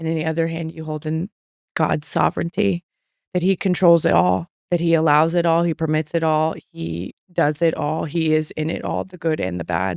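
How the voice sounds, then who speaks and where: A woman speaks in a plain, everyday voice, fairly low in pitch and with ordinary pitch variation. Her pace is fairly slow, and the sound is dry and close with no echo. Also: very clean recording, silent background. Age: 30s. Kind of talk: faith-based interview conversation. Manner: warm and reassuring.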